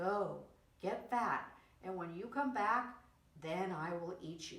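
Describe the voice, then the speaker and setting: Using a put-on character voice at medium pitch, a woman speaks at a fairly slow pace with slight echo. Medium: read story.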